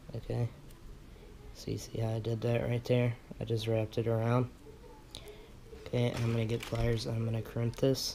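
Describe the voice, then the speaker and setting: A man speaks quietly at a fairly quick pace in a medium pitch, with a monotone, flat delivery broken by long, frequent pauses. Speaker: vape coil building tutorial maker. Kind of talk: tutorial. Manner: quiet, low-key; casual, conversational.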